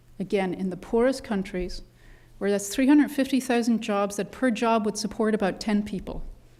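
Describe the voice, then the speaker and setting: An Irish accent at a moderate pace with ordinary pitch variation, on a very clean recording with a silent background. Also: woman. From Ireland. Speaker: conservation biologist at a development bank. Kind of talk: panel discussion talk. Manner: animated.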